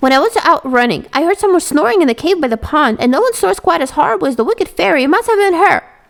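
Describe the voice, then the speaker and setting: In a put-on character voice, a woman races along at a very fast pace with hardly any pauses, her high pitch making very wide swings. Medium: read story. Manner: quick.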